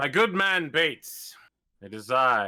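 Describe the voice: Using a put-on character voice, a man of medium pitch speaks fairly slowly with very wide pitch swings.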